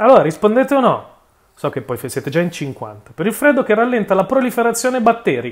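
With an animated tone, a man speaks at a fairly quick pace in a high pitch that makes very wide swings. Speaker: pizza consultant. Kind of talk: live stream chat with viewers.

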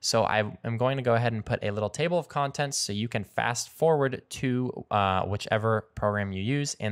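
A man speaks with ordinary pitch variation in front of a quiet background. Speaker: photography tutorial host. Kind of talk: tutorial. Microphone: studio mic.

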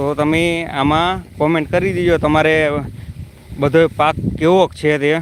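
A man's fairly high voice holds fairly even intonation amid noticeable background noise. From Saurashtra, Gujarat (Dhoraji taluka). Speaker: farmer vlogger. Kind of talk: live farm vlog. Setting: outdoors in a soybean field.

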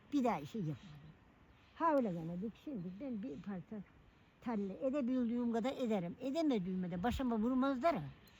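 Here a woman talks at a fairly quick pace, with very wide pitch swings around a fairly high pitch. Her voice is somewhat breathy, with a dark, mellow tone. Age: 80s+. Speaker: elderly villager. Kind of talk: casual chat. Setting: outdoors.

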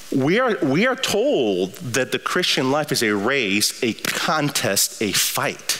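Very slow, very evenly loud speech from a man with a fairly high pitch and very wide pitch swings. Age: 50s. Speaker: university president; university president preaching. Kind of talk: sermon. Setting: chapel service with audience. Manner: impassioned. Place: hall.

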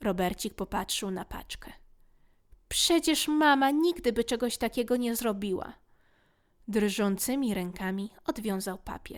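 On a very clean recording with a silent background, a woman with a fairly high pitch speaks at a fairly slow pace, with lively intonation and big swings in loudness. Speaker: audiobook narrator. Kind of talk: bedtime story reading aloud. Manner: animated, changes voices for characters.

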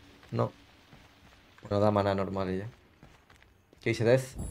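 A man speaks at a moderate pace. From Spain. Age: 20s. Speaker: game streamer. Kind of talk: casual gameplay commentary. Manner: animated. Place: home room.

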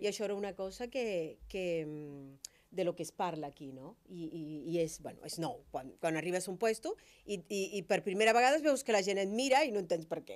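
A woman talks fairly quickly with lively intonation and big swings in loudness. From Cuba. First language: Spanish (speaking Catalan). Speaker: doctor and writer; guest. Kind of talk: talk show interview. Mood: warm, animated. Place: studio. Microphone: studio mic.

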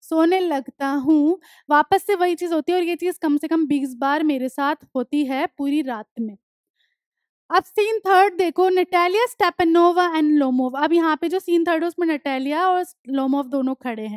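A woman talks at a fairly slow pace in an extremely high pitch, with ordinary pitch variation. The sound is dry with no echo, over a quiet background. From India. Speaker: English teacher. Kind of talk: lecture. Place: studio. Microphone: headset.

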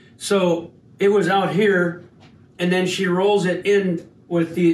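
A man talks high in his range, and the room echo is audible. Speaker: family member showing his mother's quilting. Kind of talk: casual talk to camera. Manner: warm, fond. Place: home room. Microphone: phone near.

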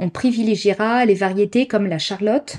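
A woman with a Savoyard accent speaks at a moderate pace in a dark, mellow tone, with ordinary pitch variation over a quiet background. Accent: regional Savoyard French. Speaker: food blogger and content creator. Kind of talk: podcast-style narration on history and recipe.

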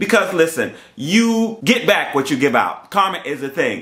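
Amid audible room echo, a man talks at a moderate pace with very wide pitch swings. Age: 50s. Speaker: YouTuber; vlogger. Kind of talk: vlog monologue. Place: home room. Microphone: phone near.

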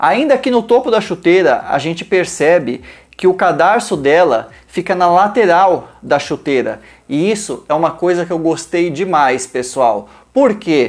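Very wide pitch swings at a fairly slow pace over a quiet background. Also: man, high pitch for a man. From Brazil. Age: 30s. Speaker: goalkeeper YouTuber. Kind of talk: product review. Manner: animated. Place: studio. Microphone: lapel.

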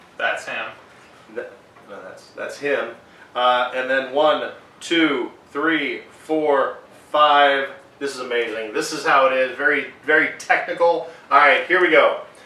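There is audible room echo around the voice. A man talks at a moderate pace. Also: long, frequent pauses, big swings in loudness. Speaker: host of a taste test. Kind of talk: casual vlog chat. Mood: playful, joking. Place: home room.

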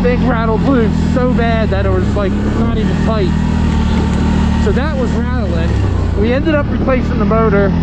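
The sound is dry with no echo, set against loud background noise. Speech moves at a moderate pace. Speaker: ATV rider reviewer. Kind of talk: casual ride commentary. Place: open country.

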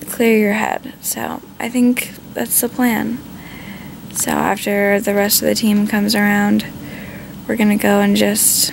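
With light noise in the background, a woman talks fairly slowly. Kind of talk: casual vlog chat. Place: home room. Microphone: phone near.

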